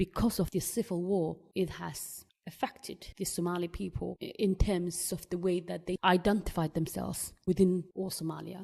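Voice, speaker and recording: A woman with a fairly low pitch and a dark, mellow tone speaks at a moderate pace with vocal fry, monotone, flat intonation, and hardly any pauses. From Somaliland, raised in Bristol. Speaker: community member interviewee. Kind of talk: interview testimony.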